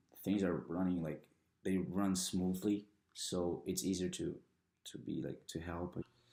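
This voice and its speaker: A man's very deep, low voice, dark and mellow in tone, with fairly even intonation, a very slow pace and a Brazilian Portuguese accent. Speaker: international student athlete. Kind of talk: interview testimony. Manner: halting.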